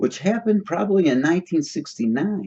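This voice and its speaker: A man talks at a fairly quick pace with an American accent. His pitch swings very widely. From Chicago, US Midwest. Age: 60s. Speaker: video commentator. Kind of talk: solo commentary monologue. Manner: halting, many fillers and restarts.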